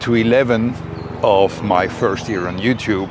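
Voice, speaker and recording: A fairly low-pitched man with a Swiss German accent, amid noticeable background noise. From Switzerland. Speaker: YouTuber, personal growth creator. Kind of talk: reflective talk to camera. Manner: slightly halting with fillers.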